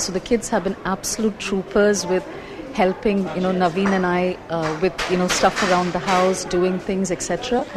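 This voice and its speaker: Over noticeable background noise, a woman speaks at a moderate pace with a medium pitch. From India, Kerala. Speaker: cooking class student. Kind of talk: casual chat.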